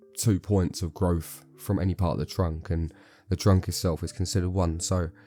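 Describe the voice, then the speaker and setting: Over music in the background, a man speaks in a very deep, low voice with monotone, flat intonation. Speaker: bonsai grower. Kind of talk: casual tutorial talk to camera. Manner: casual, hesitant with fillers.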